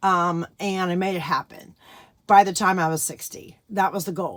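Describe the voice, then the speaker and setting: A woman speaks at a moderate pace and a medium pitch. It is an ordinary speaking voice. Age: 60s. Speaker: full-time RV nomad, vlogger. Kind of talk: casual talk to camera. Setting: outdoors.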